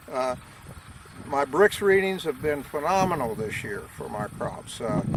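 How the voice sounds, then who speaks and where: Over noticeable background noise, a man with a fairly high pitch speaks at a fairly slow pace with lively intonation, the sound dry with no echo. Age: 60s. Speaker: farmer. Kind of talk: casual explanatory talk. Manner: animated; halting, many fillers. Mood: enthusiastic, earnest. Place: farm. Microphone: camera far.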